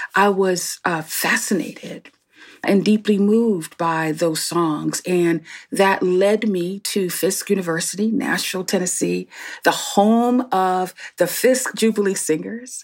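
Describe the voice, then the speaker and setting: With a normal speaking voice and an American accent, a woman speaks at a fairly slow pace and a medium pitch with ordinary pitch variation. The recording is very clean, with a silent background. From Newark, New Jersey. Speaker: pastor and seminary president. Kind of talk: interview conversation.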